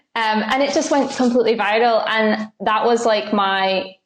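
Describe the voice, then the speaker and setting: A woman with a Scottish accent talks at a moderate pace against a quiet background. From Scotland. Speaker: content creator and singer-songwriter. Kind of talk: podcast interview. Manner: casual, many fillers.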